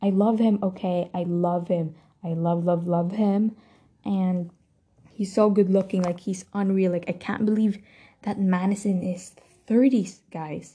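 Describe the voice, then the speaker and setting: Somewhat breathy and medium-pitched, a woman's voice moves at a fairly slow pace. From Philippines. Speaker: podcast host. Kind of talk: casual solo monologue. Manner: animated.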